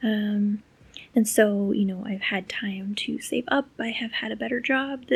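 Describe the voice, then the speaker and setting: A woman's medium-pitched, somewhat breathy voice at a fairly slow pace, with fairly even intonation. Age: 30s. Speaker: language learning vlogger. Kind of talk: personal vlog diary. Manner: flat, low-energy.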